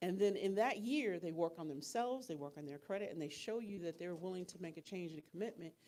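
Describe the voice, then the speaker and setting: A woman with an American accent talks at a very fast pace, her pitch fairly low. Her tone is dark and mellow, with lively intonation. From New York. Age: 50s. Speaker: financial workshop speaker. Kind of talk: workshop talk. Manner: animated.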